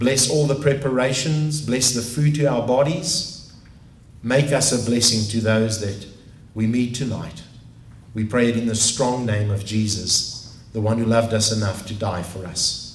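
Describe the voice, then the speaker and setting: Against audible room echo, a man with a South African accent speaks at a fairly slow pace, with medium pitch and ordinary pitch variation. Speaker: pastor. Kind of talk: prayer.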